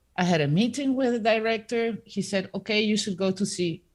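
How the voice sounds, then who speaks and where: Somewhat breathy and medium in pitch, a woman with a Spanish accent speaks at a fairly quick pace with ordinary pitch variation on a very clean recording with a silent background. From Peru. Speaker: composer. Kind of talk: interview. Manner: halting, many fillers.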